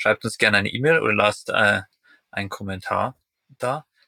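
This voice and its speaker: Fairly quick speech from a man, dry and close with no echo. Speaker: podcast host. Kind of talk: casual interview. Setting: in a caravan in Norway.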